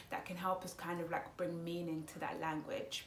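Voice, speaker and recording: A woman speaks at a fairly quick pace with a Congolese accent, her pitch in the medium range. The room echo is audible and there is noticeable background noise. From Congo, raised speaking Lingala and French, schooled in English. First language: Lingala. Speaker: psychology student and vlogger. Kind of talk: casual explanatory vlog. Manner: hesitant, many fillers.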